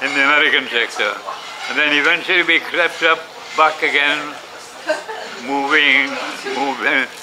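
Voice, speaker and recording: With noticeable background noise behind him, a man speaks fairly slowly at a fairly high pitch with fairly even intonation. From Wales. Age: 80s+. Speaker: war veteran. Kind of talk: interview answer.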